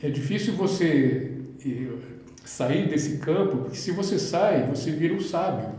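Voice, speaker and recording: This man's pitch is fairly high and his intonation lively. He talks at a fairly slow pace, with audible room echo. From Santa Catarina, Brazil (Criciúma). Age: 60s. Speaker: visual artist. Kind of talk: casual interview chat. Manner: halting, many repetitions.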